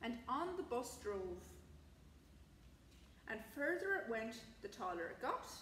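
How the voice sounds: Speaking slowly, a woman uses a fairly high pitch with big pitch swings and a fairly bright tone over faint background noise.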